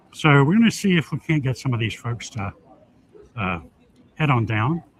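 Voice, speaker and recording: A man's somewhat breathy voice of medium pitch, with very wide pitch swings, at a moderate pace. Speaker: political candidate and event host. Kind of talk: live stream commentary at event. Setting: auditorium, live stream. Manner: casual, informal. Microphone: poor streaming quality, some can't hear.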